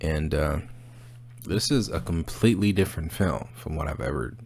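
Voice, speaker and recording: In a quiet voice, a man with very deep, low pitch speaks at a moderate pace with lively intonation. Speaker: movie review channel host. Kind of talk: casual monologue review. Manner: quiet, subdued; hesitant, many fillers.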